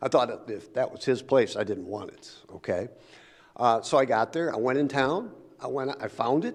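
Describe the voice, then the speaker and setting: Moderate tempo, medium pitch and ordinary variation from a man. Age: 60s. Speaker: public commenter at city council. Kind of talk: public comment. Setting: city council meeting. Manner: halting.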